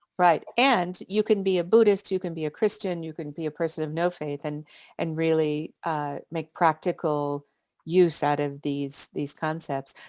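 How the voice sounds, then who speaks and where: A woman's unremarkable speaking voice, fairly low, with an American accent, moderate pace and ordinary pitch variation, on a very clean, dry, close recording with a silent background. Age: 60s. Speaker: author. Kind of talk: interview.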